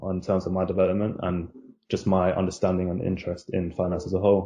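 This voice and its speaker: Very deep and low, the man's voice moves at a fairly quick pace with a monotone, flat intonation. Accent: London. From London, Hackney. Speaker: junior banker, university graduate. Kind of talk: casual interview chat. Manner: hesitant, many fillers.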